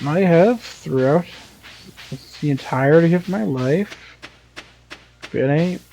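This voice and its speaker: Noticeable background noise behind a fairly slow delivery. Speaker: gaming YouTuber. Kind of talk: let's play commentary. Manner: calm; deliberately slower than natural.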